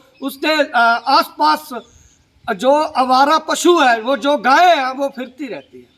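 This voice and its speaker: Extremely high-pitched for a man, this speaker has a Punjabi accent and fairly even intonation. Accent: Punjabi-accented Hindi. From Punjab, India. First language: Punjabi (speaking Hindi). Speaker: social media commentator. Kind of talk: political monologue to camera. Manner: halting, many fillers.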